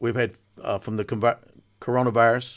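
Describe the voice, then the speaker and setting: With a Southern accent, a man speaks at a moderate pace and medium pitch. The recording is very clean, with a silent background. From North Carolina, Mount Airy area. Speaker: political podcaster and activist. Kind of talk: political monologue. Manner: informal, folksy.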